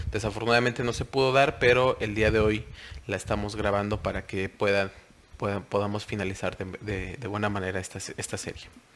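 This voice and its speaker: The man's intonation is fairly even. His pitch is fairly low. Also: fairly quick pace. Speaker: software trainer. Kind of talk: recorded webinar tutorial. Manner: hesitant, many fillers.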